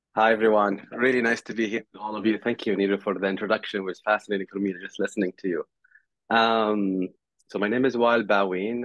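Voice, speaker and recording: The man speaks at a very fast pace with a fairly low pitch. His intonation stays fairly even. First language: not English. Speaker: tech company CEO. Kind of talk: panel discussion.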